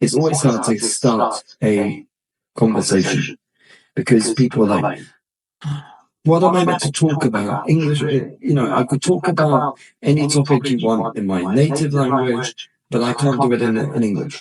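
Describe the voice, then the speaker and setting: In a British accent, a man with a medium pitch and a somewhat breathy voice talks at a moderate pace with ordinary pitch variation. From Britain. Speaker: podcast host and English teacher. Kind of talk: casual chat.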